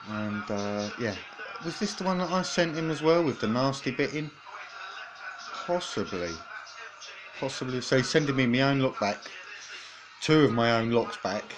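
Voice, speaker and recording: Over clear background music, a man speaks at a moderate pace, leaving long and frequent pauses. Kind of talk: casual unboxing commentary. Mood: amused, slightly apprehensive. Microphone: phone near.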